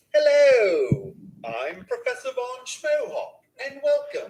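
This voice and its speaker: A put-on character voice unfolds at a fairly slow pace. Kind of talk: pompous, academic.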